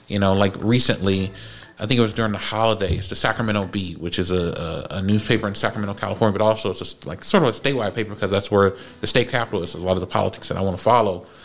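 A man talks at a very fast pace in a fairly low pitch. His intonation is fairly even, and there is noticeable background noise. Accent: American. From US West Coast, Oakland. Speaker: podcast host. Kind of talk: casual chat.

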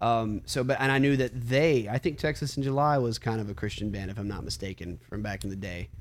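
In a Southern US accent, a man speaks at a medium pitch with ordinary pitch variation. He moves at a fairly quick pace with hardly any pauses. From US South (Alabama). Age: 20s. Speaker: metalcore singer. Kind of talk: casual chat.

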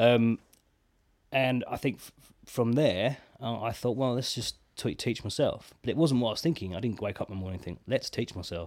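Speaking with an English accent, a man uses a medium pitch, ordinary pitch variation and a moderate pace, with big swings in loudness, on a very clean recording with a silent background. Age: 30s. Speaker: drummer. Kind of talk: casual chat.

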